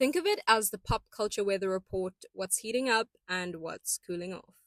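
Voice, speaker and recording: In a dry, close sound with no echo, a woman with an unremarkable speaking voice talks at a fairly slow pace with ordinary pitch variation. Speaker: podcast host. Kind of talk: pop culture podcast monologue. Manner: upbeat, playful.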